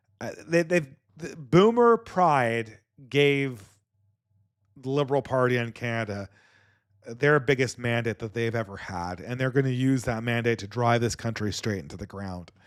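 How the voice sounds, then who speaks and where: On a very clean recording with a silent background, someone speaks with a Californian accent at a moderate pace, showing big swings in loudness and ordinary pitch variation. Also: man, medium pitch for a man. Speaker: podcast host. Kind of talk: podcast commentary reading viewer donations. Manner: halting, many repeated words.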